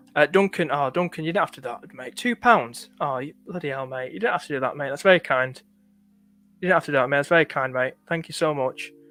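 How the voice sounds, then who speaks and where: Talking very fast with a slight northern English accent, a man speaks in a fairly high pitch with ordinary pitch variation and big swings in loudness, captured with a dry, close sound and no echo. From northern England. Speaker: fantasy football streamer. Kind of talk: live stream chat. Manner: halting.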